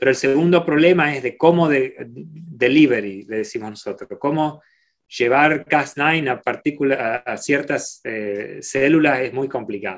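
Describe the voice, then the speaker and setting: Fairly slow male speech, fairly high in pitch, with ordinary pitch variation and big swings in loudness against a quiet background. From Argentina, Rosario; Argentina. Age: 40s. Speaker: microbiology professor; guest. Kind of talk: Q&A talk; interview answer. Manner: halting, many repeated words. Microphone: video call.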